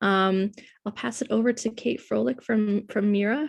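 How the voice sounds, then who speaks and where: Fairly even intonation in a somewhat breathy female voice. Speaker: director of a hospital immigrant health center. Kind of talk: panel moderation on a webinar. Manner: hesitant, many fillers.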